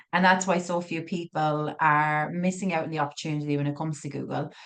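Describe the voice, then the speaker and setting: Talking very fast against a quiet background, a woman with an Irish accent has a very deep, low voice. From Ireland. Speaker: digital marketing business owner. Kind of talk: masterclass presentation. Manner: animated.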